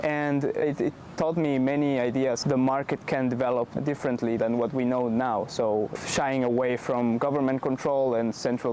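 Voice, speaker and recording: With a Spanish accent and medium pitch, a man speaks at a moderate pace and fairly even intonation over noticeable background noise. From Bolivia. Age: 20s. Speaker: startup founder. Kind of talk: interview. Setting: in-person interview in Amsterdam.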